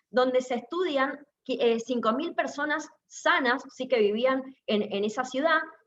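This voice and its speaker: A woman talks in a high pitch, and audible room echo hangs on her voice. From Argentina, Mendoza. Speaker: cardiologist. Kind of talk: lecture. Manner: fast.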